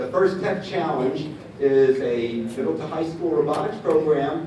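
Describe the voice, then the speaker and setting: A man's voice at a moderate pace, with ordinary pitch variation, light background noise and audible room echo. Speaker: event host. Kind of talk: welcome speech. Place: hall.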